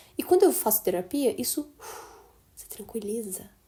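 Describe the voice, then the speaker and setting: Dark and mellow in tone, a woman's somewhat breathy voice moves at a moderate pace. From interior of São Paulo state, Brazil (Assis). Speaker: podcast host. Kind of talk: casual chat. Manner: animated.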